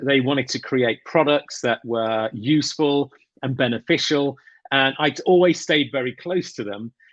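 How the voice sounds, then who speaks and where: A man with a British accent at a fairly slow pace, dry and close with no echo. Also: quiet background. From England. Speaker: grooming brand owner. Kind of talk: interview.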